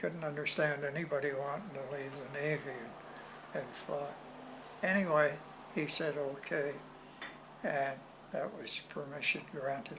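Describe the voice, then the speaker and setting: Against noticeable background noise, a man speaks at a fairly slow pace with long, frequent pauses. His fairly high voice shows ordinary pitch variation. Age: 80s+. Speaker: World War II veteran. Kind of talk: interview answer.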